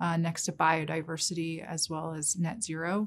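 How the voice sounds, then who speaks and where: A woman with an American accent talks at a moderate pace in a somewhat breathy voice. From New York City. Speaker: investment research director. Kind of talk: interview. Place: meeting room.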